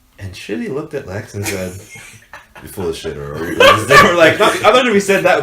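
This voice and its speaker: There is noticeable background noise and audible room echo around a man's voice. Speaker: podcast co-host. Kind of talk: casual chat.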